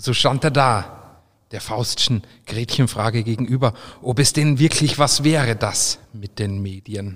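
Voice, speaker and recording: Ordinary pitch variation marks this man's medium-pitched, somewhat breathy voice. He speaks at a fairly slow pace. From Austria. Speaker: brewer and brand ambassador. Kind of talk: reading aloud; casual chat.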